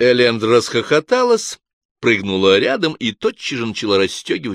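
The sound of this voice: Quiet surrounds the voice. It is an unforced reading voice.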